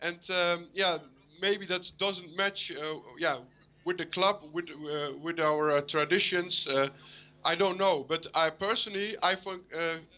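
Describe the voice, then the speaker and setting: Speaking fairly slowly with a Dutch accent, a man with a high pitch and a bright, sharp tone keeps his intonation fairly even against a quiet background. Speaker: football fan caller. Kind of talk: call-in interview. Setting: Skype video call. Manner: halting, many hesitations.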